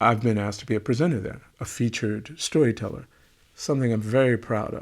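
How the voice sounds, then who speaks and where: A man's medium-pitched voice with ordinary pitch variation comes through on a very clean recording with a silent background. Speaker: storyteller and kora musician. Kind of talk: casual monologue vlog. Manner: fast.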